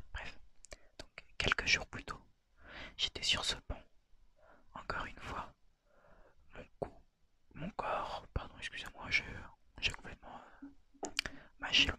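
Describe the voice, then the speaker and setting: Whispering at a very slow pace, a man leaves long, frequent pauses, his loudness swinging widely. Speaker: ASMR creator. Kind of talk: ASMR story reading. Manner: whispered.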